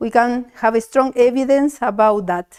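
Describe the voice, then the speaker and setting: A woman's high-pitched voice with a Spanish accent, fairly even intonation and a fairly slow pace. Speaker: mathematician. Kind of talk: tribute speech read aloud. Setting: academic event with audience. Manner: halting.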